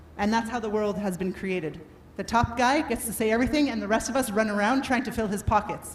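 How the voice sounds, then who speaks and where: A woman with a Canadian accent talks at a very fast pace in an animated tone with ordinary pitch variation. Audible room echo and noticeable background noise are present. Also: fairly high pitch for a woman. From Canada. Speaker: workshop speaker on adaptability. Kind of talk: motivational talk. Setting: stage with audience and microphone. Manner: loud.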